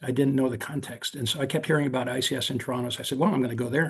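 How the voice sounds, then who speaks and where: Somewhat breathy and fairly even in intonation, a man with an American accent speaks at a medium pitch. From South Korea (American missionary family), then US. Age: 70s. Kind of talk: invited talk on video call. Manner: halting, frequent fillers and restarts.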